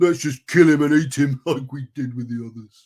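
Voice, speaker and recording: In a put-on character voice, the speaker growls at a moderate pace. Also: man, fairly high pitch for a man. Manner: growling, brutish.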